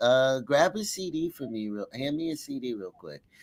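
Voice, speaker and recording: On a very clean recording with a silent background, a man speaks at a moderate pace with a fairly high pitch and very wide pitch swings. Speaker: livestream host, musician. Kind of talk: casual chat. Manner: halting.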